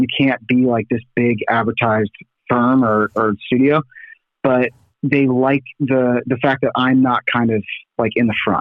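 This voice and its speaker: A man talks in a normal speaking voice at a medium pitch. His pace is fairly slow and his loudness stays very even. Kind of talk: casual chat. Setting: phone call.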